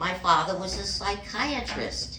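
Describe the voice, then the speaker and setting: A woman speaks at a very slow pace. The recording has noticeable background noise and audible room echo. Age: 80s+. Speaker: stand-up comedian. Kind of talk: stand-up. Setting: stage with audience.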